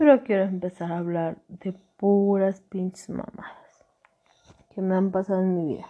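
A woman with a Mexican accent speaks at a fairly slow pace, her pitch medium and her pitch variation ordinary. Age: 30s. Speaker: podcaster. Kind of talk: casual monologue.

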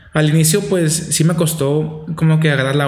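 A man's fairly high voice at a moderate pace, fairly even in intonation, with audible room echo. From Nogales, Sonora, Mexico. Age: 20s. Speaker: seminarian. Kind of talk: casual interview.

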